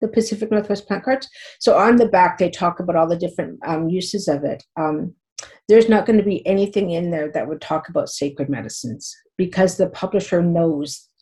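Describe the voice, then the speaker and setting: A woman with a Canadian accent and a medium pitch speaks at a fairly quick pace, her dark, mellow tone somewhat breathy and her pitch varying in an ordinary way. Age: 50s. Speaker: teacher. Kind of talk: interview. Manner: halting, with many repetitions and fillers.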